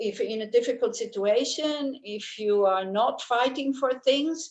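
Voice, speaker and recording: Delivery comes at a fairly slow pace. Pitch varies in an ordinary way. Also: woman. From Switzerland. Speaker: Buddhist teacher. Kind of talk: dharma talk. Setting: video call.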